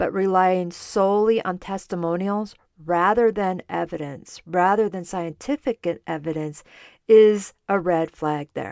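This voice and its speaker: Here, a woman speaks at a fairly slow pace in a plain, everyday voice at medium pitch with ordinary pitch variation. The sound is dry and close with no echo, on a very clean recording with a silent background. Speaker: podcast host, dietitian. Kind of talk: solo podcast, educational talk.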